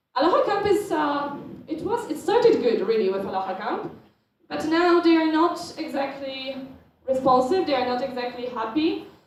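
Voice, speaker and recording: Moderate pace with a Polish accent, very wide pitch swings and audible room echo. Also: woman, high pitch for a woman. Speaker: student organisation board member presenting. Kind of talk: conference presentation.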